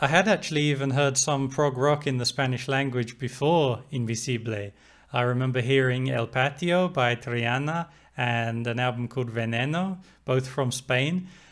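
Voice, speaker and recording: In an English accent, the speaker talks at a moderate pace with ordinary pitch variation. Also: man, medium pitch for a man. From England. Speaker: music reviewer. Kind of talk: album review talk to camera.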